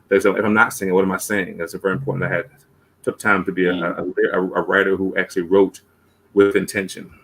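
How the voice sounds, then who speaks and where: At a very fast pace, a man delivers his words with fairly even intonation at a fairly low pitch. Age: 50s. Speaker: singer-songwriter and performance poet. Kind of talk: interview. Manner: halting, many repeated words.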